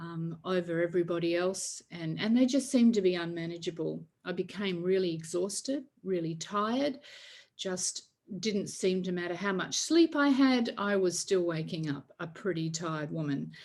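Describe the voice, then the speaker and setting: A woman speaks in a normal speaking voice at a fairly low pitch. Her pace is moderate. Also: lively intonation. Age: 60s. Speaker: faith-based emotional healing coach. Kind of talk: online workshop talk.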